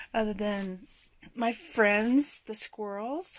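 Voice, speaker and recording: The woman's speech moves at a very slow pace. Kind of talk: casual vlog chat. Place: home room. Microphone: phone near.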